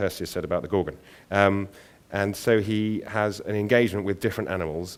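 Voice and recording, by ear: Someone reads aloud in a natural voice.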